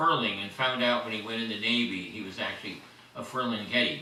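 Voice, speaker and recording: With an American accent, a man speaks amid noticeable background noise and audible room echo. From Southern California. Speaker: poet and biographer. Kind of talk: panel discussion.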